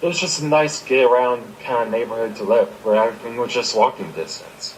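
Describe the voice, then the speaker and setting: A man with an American accent at a fairly quick pace, medium pitch with ordinary variation, over noticeable background noise. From Maryland, US. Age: 20s. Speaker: podcast co-host. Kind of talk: casual chat.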